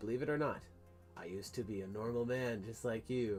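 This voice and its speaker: A man does a put-on character voice at a medium pitch and a fairly quick pace, with clear music playing in the background. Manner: gruff, noir narration.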